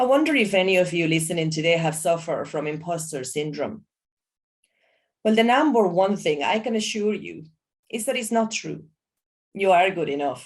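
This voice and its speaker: With a non-native accent, a woman speaks in a fairly low pitch and lively intonation, taking long, frequent pauses. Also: moderate pace. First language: not English. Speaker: environmental education entrepreneur. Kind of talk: motivational talk.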